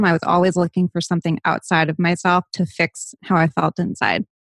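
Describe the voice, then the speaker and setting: Very fast speech in an American accent, dry and close with no echo, on a very clean recording with a silent background. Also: woman. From US Northeast, Rhode Island (Barrington). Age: 30s. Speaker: lifestyle and wellness influencer. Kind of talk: interview, candid personal talk.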